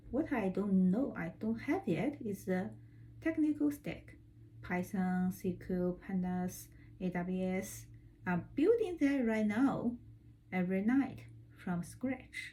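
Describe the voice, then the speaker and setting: This woman has a Chinese accent. She speaks at a very slow pace. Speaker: vlogger learning data analytics. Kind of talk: personal vlog to camera.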